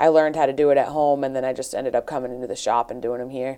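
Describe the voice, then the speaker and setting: Speaking very fast with a southeastern New England accent, a woman has a dark, mellow tone and fairly even intonation. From New Bedford, Massachusetts. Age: 20s. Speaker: fishnet maker. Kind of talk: interview. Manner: halting.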